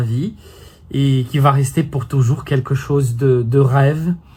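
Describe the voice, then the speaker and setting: Somewhat breathy, this voice proceeds at a very slow pace. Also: man. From Brazil. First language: Brazilian Portuguese (speaking French). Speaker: French teacher and YouTuber. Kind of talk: casual vlog talk to camera. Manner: hesitant, many fillers.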